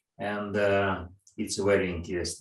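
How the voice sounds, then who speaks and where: A man with ordinary pitch variation amid audible room echo. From Russia. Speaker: interviewer. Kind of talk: interview over video call. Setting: video call. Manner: halting, non-fluent English.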